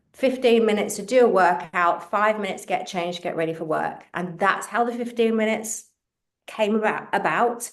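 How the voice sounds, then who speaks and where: A woman speaks with a London accent at a moderate pace. Her pitch is fairly high, with ordinary pitch variation. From England, London. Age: 50s. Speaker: fitness coach and author. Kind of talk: interview.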